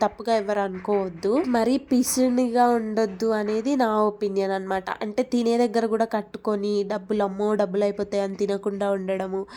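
A woman speaks with a dark, mellow tone and fairly even intonation in a very clean recording with a silent background. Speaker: lifestyle vlogger. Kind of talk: casual vlog narration. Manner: chatty, conversational.

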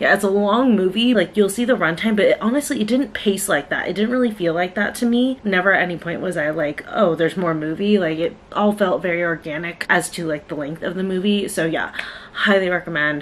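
Speaking at a fairly quick pace, a woman uses ordinary pitch variation. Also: hardly any pauses. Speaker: vlogger. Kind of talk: casual vlog chat. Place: home room. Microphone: phone near.

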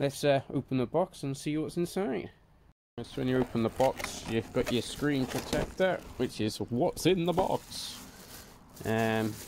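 A man talks at a fairly slow pace in a dry sound with no echo, over light background noise. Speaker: motorbike owner vlogger. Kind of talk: casual vlog chat. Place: garage. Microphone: phone near.

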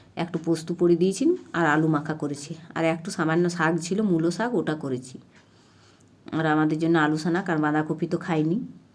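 A woman's fairly low voice with fairly even intonation, an ordinary speaking voice. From Purulia district, West Bengal, India. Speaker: village housewife vlogger. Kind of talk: casual vlog narration.

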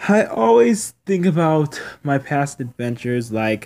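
A man speaks at a very slow pace. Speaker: vlogger. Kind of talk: casual vlog chat. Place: street. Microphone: phone near.

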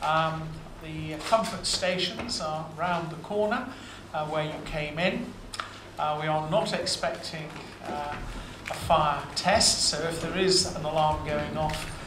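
There is noticeable background noise. A man speaks at a very slow pace with ordinary pitch variation. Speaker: university official introducing lecture. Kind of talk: formal introductory speech. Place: hall. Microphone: podium.

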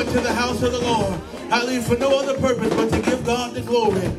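A man talks at a very fast pace. Loud music plays in the background. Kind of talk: sermon-style praise exhortation. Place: church. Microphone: handheld.

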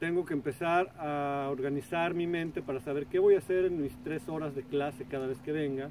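An ordinary speaking voice at a moderate pace, with fairly even intonation, hardly any pauses, light background noise and a dry sound with no echo. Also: man, fairly high pitch for a man. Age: 40s. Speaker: artist and video blogger; video blogger. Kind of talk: casual vlog monologue. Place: waterside. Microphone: camera far.

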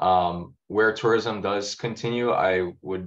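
A man with a Hawaiian accent, very deep and low in pitch, fairly even in intonation, against a quiet background. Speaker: land trust executive; panelist. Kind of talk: panel discussion. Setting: video call. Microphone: video call.

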